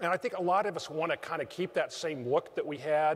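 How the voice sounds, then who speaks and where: A man with an unremarkable speaking voice talks at a fairly quick pace, his fairly high pitch varying in an ordinary way. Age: 60s. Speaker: association CEO. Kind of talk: convention keynote speech. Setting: stage with audience.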